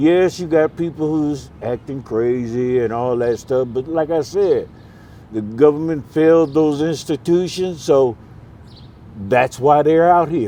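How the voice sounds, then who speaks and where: A man's fairly high-pitched voice at a fairly slow pace, with ordinary pitch variation and a plain, everyday voice. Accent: American. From US Midwest, Milwaukee, Wisconsin. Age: 60s. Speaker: homeless man. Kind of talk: street interview. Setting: outdoors on a street corner.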